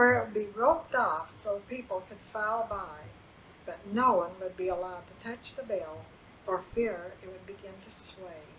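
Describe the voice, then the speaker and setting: Noticeable background noise is present throughout. A woman talks over it at a medium pitch, her pitch varying in an ordinary way. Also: moderate pace, big swings in loudness. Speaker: grandmother reading her memoirs. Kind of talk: memoir reading. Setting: home recording.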